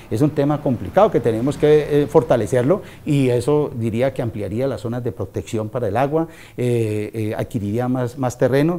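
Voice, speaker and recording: The voice has a dark, mellow tone and ordinary pitch variation. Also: man. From Colombia, Valle del Cauca (Tuluá); Valle del Cauca, Colombia. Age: 50s. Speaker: local politician, mayoral pre-candidate; local politician, candidate. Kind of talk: interview. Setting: at a private home. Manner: hesitant, with frequent fillers. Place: home room. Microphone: lapel.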